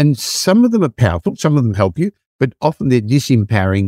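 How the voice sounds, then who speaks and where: With an Australian accent, a man talks at a fairly quick pace and medium pitch. His tone is dark and mellow, with a dry, close sound and no echo. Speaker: property investment advisor. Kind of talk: casual chat.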